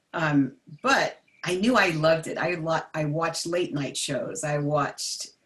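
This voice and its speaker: A plain, everyday voice from a woman with an American accent, fairly low in pitch, fairly slow, with ordinary pitch variation. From New Jersey, US. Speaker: jazz vocalist and vocal coach. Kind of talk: interview. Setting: livestream video.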